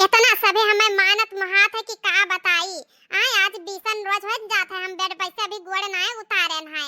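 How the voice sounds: A woman speaks in a cartoonish character voice at extremely high pitch, with fairly even intonation. Her moderate-paced delivery has a dry, close sound with no echo.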